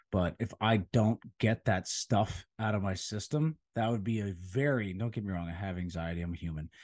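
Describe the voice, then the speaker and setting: A man at a fairly low pitch with ordinary pitch variation, moderate pace, dry, close sound with no echo. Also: hardly any pauses. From central Pennsylvania. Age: 30s. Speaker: personal trainer. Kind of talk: casual chat. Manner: loud; animated.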